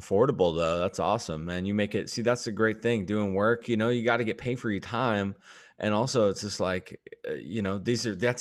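This man talks at a fairly quick pace with a fairly low pitch and lively intonation. The recording is very clean, with a silent background. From Washington state, US. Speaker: podcast host. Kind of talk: casual chat. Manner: halting.

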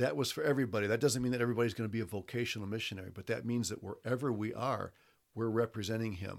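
In a very clean recording with a silent background, a man with an American accent speaks at a medium pitch with fairly even intonation. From US Midwest, Toledo, Ohio. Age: 60s. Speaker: professor and former missionary. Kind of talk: casual interview. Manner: hesitant, many fillers.

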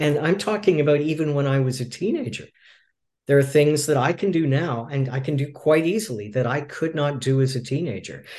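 A fairly high-pitched, somewhat breathy male voice at a fairly quick pace, with ordinary pitch variation. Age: 60s. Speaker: movement coach. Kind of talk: interview. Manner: halting.

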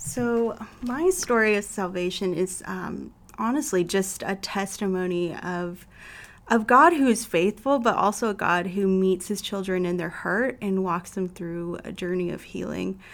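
Delivered in a normal speaking voice, the speech moves at a fairly slow pace with ordinary pitch variation. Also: woman, medium pitch for a woman. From Canada. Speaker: church member. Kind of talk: testimony.

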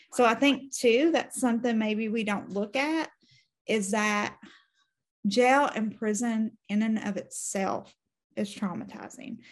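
A woman's somewhat breathy, fairly high voice at a fairly slow pace, with ordinary pitch variation over a quiet background. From eastern Kentucky. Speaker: justice reform campaigner, formerly incarcerated. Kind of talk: interview.

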